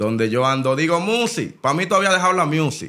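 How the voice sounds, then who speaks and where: A man with a Dominican accent at a fairly quick pace, pitch swinging very widely, against a quiet background. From Dominican Republic. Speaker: rapper; podcast guest. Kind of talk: casual interview. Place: studio. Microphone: studio mic.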